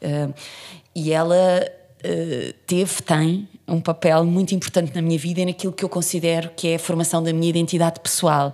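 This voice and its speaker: A woman speaks at a moderate pace in a fairly low pitch. Her tone is dark and mellow, her intonation monotone and flat. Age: 40s. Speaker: actress and theatre director. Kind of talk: interview.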